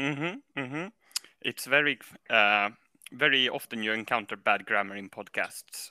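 At a moderate pace and with ordinary pitch variation, the speaker has a bright, sharp tone and a Swedish accent in a dry, close sound with no echo. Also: man, medium pitch for a man. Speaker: caller. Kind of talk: comedic call-in chat. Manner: halting.

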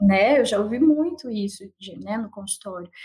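A woman speaks at a moderate pace. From Sorocaba, interior of São Paulo, Brazil. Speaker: psychologist. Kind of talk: casual interview.

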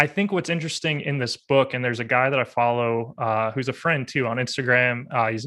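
The speaker talks at a fairly quick pace with ordinary pitch variation. The tone is bright and sharp against a quiet background. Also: man. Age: 30s. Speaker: podcast host. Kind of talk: interview conversation.

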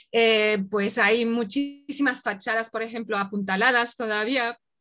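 A woman's fairly high pitch, fairly even intonation and fairly slow pace in a very clean recording with a silent background. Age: 50s. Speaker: traveler. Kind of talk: casual interview.

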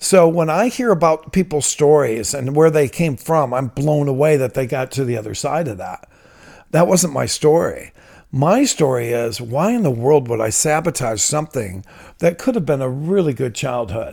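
Here a man with an American accent and a plain, everyday voice talks at a moderate pace with a fairly high pitch and lively intonation. The recording is very clean, with a silent background. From Ohio, Toledo. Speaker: author and leadership trainer in recovery ministry. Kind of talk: interview testimony.

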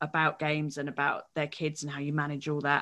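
A woman speaks at a moderate pace with an English accent, her pitch very deep and low and her tone bright and sharp. The recording is very clean, with a silent background. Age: 40s. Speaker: games journalist and comedian. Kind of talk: interview.

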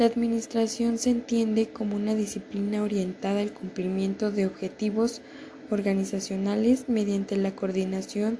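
A woman talks at a fairly slow pace in a medium pitch. Her intonation is monotone and flat. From Mexico, State of Mexico (Toluca). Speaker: university student. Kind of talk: class assignment presentation.

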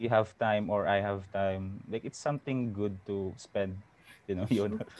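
A man's ordinary speaking voice, fairly low in pitch, at a moderate pace. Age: 30s. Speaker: former office worker. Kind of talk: casual chat.

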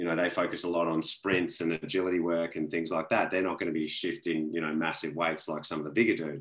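A man speaks at a very fast pace in a very deep, low voice. His intonation is monotone and flat. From Australia. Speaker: fitness trainer. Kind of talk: casual interview chat.

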